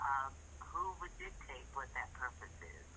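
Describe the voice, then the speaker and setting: At a very slow pace, a woman talks amid audible room echo. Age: 70s. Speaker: caller. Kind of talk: casual chat.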